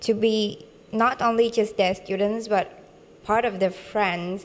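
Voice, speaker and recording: At a very slow pace, a woman speaks in a Vietnamese accent at medium pitch. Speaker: international student. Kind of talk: testimonial interview. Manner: halting, many fillers and restarts.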